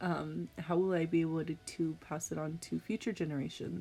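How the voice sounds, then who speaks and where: A woman's fairly low voice in a monotone, flat delivery at a moderate pace, with music in the background. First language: Spanish. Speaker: education student. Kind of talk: tutorial.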